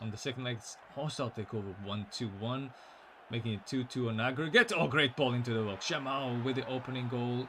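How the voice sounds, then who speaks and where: Bright and sharp in tone, a man speaks at a medium pitch with ordinary pitch variation. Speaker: esports match commentator. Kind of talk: live commentary. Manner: soft-spoken.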